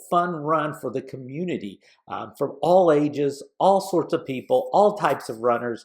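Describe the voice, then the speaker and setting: In a very clean recording with a silent background, a man with a fairly high pitch and vocal fry sounds enthusiastic, using lively intonation at a moderate pace. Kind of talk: podcast monologue. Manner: casual, enthusiastic.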